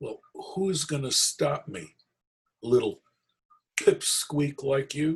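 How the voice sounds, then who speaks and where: Using a put-on character voice, a raspy man talks at a very slow pace, broken by long, frequent pauses. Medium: read story. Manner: cocky, teasing.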